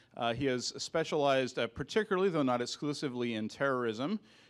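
Talking at a very fast pace with ordinary pitch variation, a man is heard against a quiet background. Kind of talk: introduction speech. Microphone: handheld.

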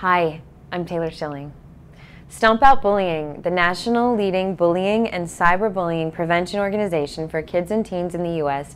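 A woman's fairly low voice at a moderate pace, with ordinary pitch variation and light background noise. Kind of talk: scripted public service message. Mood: earnest, serious. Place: home room. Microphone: lapel.

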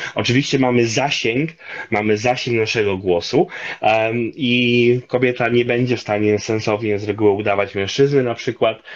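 Over a quiet background, a man speaks at a moderate pace. His intonation is fairly even. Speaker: linguist and commentator; guest. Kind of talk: interview on voice. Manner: many filler hesitations. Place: home room. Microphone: video call.

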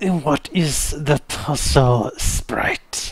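This put-on character voice sits at a low-to-middle pitch. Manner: through gritted teeth, tense.

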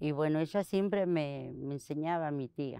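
A woman speaks with ordinary pitch variation. The sound is dry with no echo, and the background is quiet. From Argentina, Santiago del Estero. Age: 60s. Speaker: basket weaver. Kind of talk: interview testimony. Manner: halting. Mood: calm, reflective. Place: garden.

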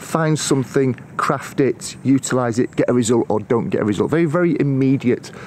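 A man talks at a fairly quick pace with ordinary pitch variation. Light background noise can be heard. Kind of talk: casual vlog chat. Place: forest. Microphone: phone near.

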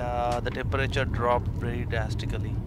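A man is speaking with music in the background. The sound is dry, with no echo. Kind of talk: casual vlog chat. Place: car. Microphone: phone near.

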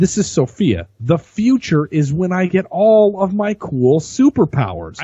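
A man's somewhat breathy voice is heard against a quiet background. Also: dry sound with no echo. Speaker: podcast co-host. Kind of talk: casual podcast discussion. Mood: relaxed, speculative. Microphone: studio mic.

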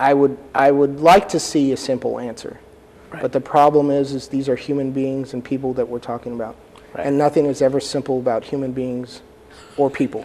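A man talks at a fairly quick pace in an American accent. His intonation stays monotone and flat. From US South, Texas (San Antonio); Texas. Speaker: immigration lawyer. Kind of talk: interview. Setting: studio. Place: studio. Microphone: lapel.

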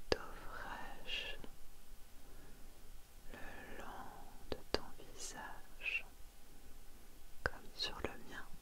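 Pausing long and often, a woman speaks at a very slow pace. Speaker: ASMR creator. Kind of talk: ASMR relaxation roleplay. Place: home room. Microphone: earbuds.

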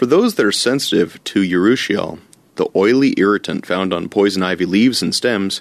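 A normal speaking voice: a man at a moderate pace, fairly low in pitch, with a dry, close sound, no echo and a quiet background. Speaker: forester. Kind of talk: scripted narration.

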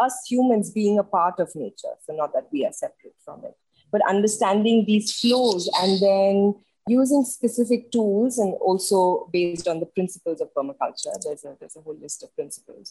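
A woman speaks in a somewhat breathy, dark and mellow voice, fairly high in pitch with ordinary pitch variation, her loudness swinging widely in a dry, close recording with no echo. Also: moderate pace. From India. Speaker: therapist. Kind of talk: interview.

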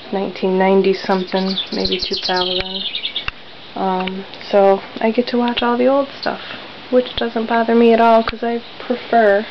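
There is noticeable background noise. The delivery is fairly slow. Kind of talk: casual vlog chat. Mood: relaxed and content. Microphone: phone near.

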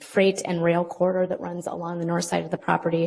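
Over noticeable background noise, a woman talks very fast at a fairly low pitch. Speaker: city planning staff. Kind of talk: staff presentation. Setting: public meeting.

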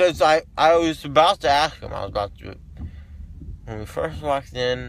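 A man speaks at a fairly slow pace. The sound is dry with no echo, with light background noise. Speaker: vlogger. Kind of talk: casual vlog chat. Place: car. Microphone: phone near.

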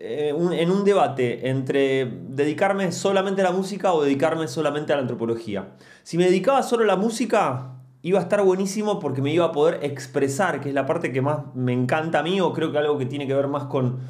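Intonation is lively as a man speaks at a fairly quick pace. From Argentina, Mar del Plata; Argentina. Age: 40s. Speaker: musician and anthropologist, YouTuber; youtuber, podcaster. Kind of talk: casual monologue to camera. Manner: hesitant, many fillers. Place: home room. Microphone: studio mic.

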